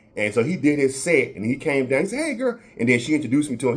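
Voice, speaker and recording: Very fast and with lively intonation, a man with a fairly high voice speaks in a Southern US accent. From Florida. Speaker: podcast host. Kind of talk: casual chat. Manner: halting, many repetitions.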